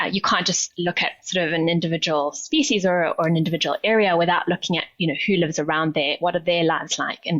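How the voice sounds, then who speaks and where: A woman's very fast speech in a South African accent, fairly low in pitch, with very even loudness and fairly even intonation. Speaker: nonprofit CEO, sustainability leader. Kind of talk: interview.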